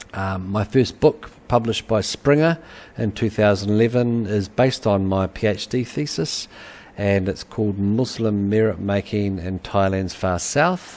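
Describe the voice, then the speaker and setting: With a New Zealand accent, a man talks at a fairly slow pace with ordinary pitch variation. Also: fairly low pitch for a man. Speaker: university lecturer, anthropologist. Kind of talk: webinar lecture. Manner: halting, many fillers.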